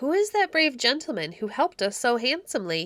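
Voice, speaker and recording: A woman uses a put-on character voice at a high pitch. She moves at a fairly quick pace with very wide pitch swings. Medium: read story. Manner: regal.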